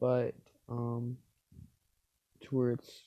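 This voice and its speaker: The intonation is monotone and flat, and the sound is dry and close with no echo. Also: man. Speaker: gaming YouTuber. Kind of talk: Minecraft gameplay commentary. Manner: halting; casual, filler-heavy.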